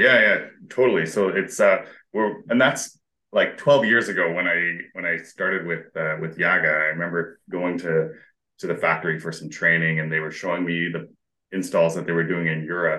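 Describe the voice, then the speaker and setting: With a Western Canadian accent, a man speaks at a moderate pace in a very deep, low pitch, his bright, sharp tone showing ordinary pitch variation. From Alberta, Canada. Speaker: mechanical engineer. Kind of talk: casual interview chat.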